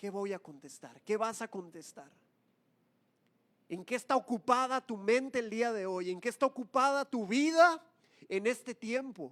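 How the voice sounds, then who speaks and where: A man speaks fairly slowly at an extremely high pitch, with long, frequent pauses and lively intonation. His loudness swings widely, and the sound is dry and close with no echo. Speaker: guest preacher. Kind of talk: sermon.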